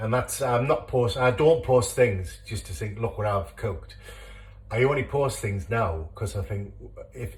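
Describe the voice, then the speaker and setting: This man talks at a moderate pace with a Teesside accent. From northern England, Teesside. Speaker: home cooking video creator. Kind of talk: cooking tutorial. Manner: casual, hesitant with many fillers.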